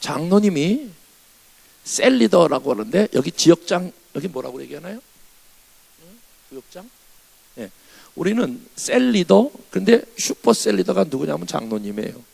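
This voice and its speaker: A high-pitched man with very wide pitch swings, big shifts in loudness and long, frequent pauses, in a dry, close sound with no echo. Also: moderate pace. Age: 60s. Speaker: revival preacher, pastor. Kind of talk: sermon. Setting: church.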